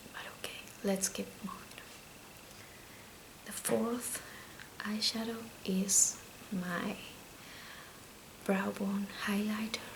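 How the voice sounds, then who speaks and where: A soft-spoken woman whispers at a very slow pace, with long, frequent pauses. Noticeable background noise runs underneath. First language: Spanish. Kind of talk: ASMR makeup talk. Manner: soft-spoken, whispered.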